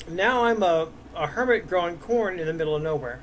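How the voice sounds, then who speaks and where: Here a man speaks at a high pitch. His intonation is lively. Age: 60s. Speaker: gaming YouTuber. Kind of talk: gameplay commentary. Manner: halting, many fillers.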